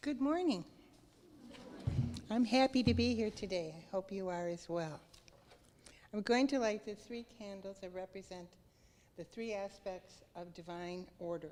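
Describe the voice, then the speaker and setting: A woman speaks quietly at a medium pitch and a moderate pace, with ordinary pitch variation. Her loudness swings a lot, and she leaves long, frequent pauses. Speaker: church service participant. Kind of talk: ceremony speech. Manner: quiet at first. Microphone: microphone issues.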